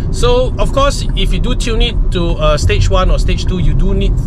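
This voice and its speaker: A man talks at a moderate pace. The sound is dry with no echo, under loud background noise. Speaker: car vlogger. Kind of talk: casual vlog chat. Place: car. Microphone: phone near.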